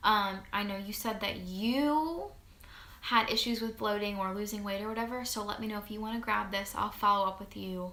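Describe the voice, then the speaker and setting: In a room with audible echo, a woman talks in an animated tone at a medium pitch. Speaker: network marketing distributor. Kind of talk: tutorial. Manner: fast.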